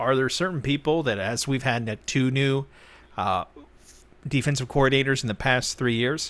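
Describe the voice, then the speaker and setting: A man with an American accent has a plain, everyday voice at a medium pitch. He keeps a moderate pace and ordinary pitch variation. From Texas. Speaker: football podcast host. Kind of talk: casual chat.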